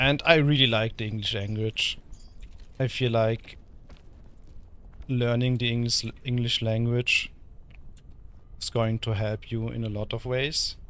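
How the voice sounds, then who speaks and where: A man with a German accent at a medium pitch, fairly slow pace, monotone, flat intonation and long, frequent pauses. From Germany. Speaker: VTuber streamer. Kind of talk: gaming livestream casual chat. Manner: halting.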